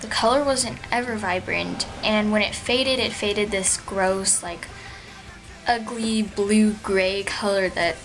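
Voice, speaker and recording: Music plays behind a woman speaking at a medium pitch. The room echo is audible. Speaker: beauty vlogger. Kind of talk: product review vlog. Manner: fast; casual with many fillers.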